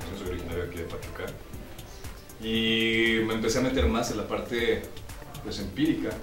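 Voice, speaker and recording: Clear music plays in the background while the speech moves at a fairly quick pace. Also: man. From Mexico (Pachuca, Hidalgo). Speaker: announcer and voice actor working at a major TV network. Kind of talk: interview answer. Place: studio.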